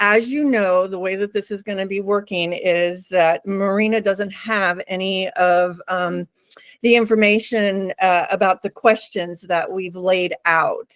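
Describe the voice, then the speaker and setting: Recorded with a dry, close sound and no echo, a woman speaks at a fairly slow pace in a plain, everyday voice. Her pitch is medium and her intonation fairly even. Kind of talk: interview questions.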